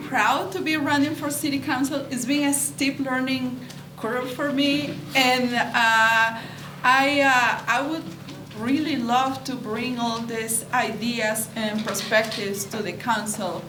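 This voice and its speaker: Over noticeable background noise and audible room echo, a woman with a Peruvian accent speaks at a very slow pace in a high pitch, with ordinary pitch variation. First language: Spanish. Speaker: city council candidate. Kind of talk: candidate forum closing statement. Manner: halting, translating in her head.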